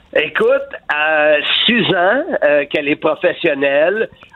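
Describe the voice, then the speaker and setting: Here a man talks at a very slow pace. He has a fairly high pitch and a Quebec accent. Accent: Québécois French. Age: 60s. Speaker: wrestling commentator and author. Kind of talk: interview. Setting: phone call.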